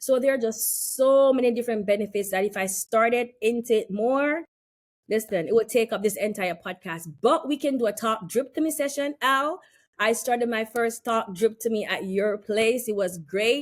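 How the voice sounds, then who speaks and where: On a very clean recording with a silent background, the speaker sounds animated and has a slight West Indian accent. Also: woman, fairly high pitch for a woman, ordinary pitch variation, moderate pace. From West Indies. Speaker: health and wellness practitioner. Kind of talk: casual chat.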